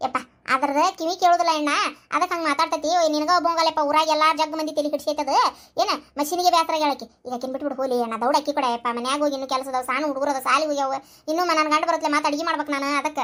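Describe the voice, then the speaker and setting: A cartoonish character voice at a very fast pace, with fairly even intonation. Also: woman, high pitch for a woman. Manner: loud, scolding, fast.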